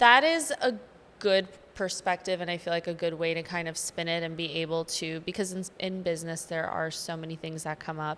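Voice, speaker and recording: Keeping a fairly even intonation, a woman with a fairly low voice moves at a fairly quick pace. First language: not English. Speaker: podcast host. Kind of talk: casual chat.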